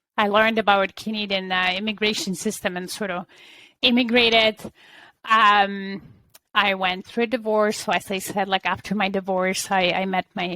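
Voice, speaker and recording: Her bright, sharp tone at a medium pitch, a woman speaks at a moderate pace with monotone, flat intonation. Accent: Polish. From Poland. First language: Polish. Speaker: business coach. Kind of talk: interview. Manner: halting.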